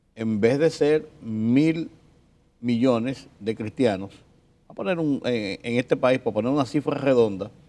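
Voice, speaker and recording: Speaking at a fairly slow pace, a man with a medium pitch and a dark, mellow tone shows ordinary pitch variation. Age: 60s. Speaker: journalist. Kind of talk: casual chat.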